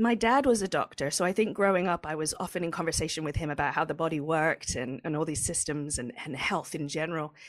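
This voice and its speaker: A woman with a fairly low voice and an English accent talks at a very fast pace with hardly any pauses and ordinary pitch variation, in a very clean recording with a silent background. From England. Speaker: cannabis journalist and podcast host. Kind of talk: interview.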